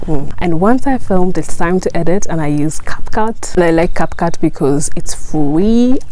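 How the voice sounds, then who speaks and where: A woman talks at a moderate pace with lively intonation over noticeable background noise. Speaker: YouTuber. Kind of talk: tutorial. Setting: outdoors. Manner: some stuttering.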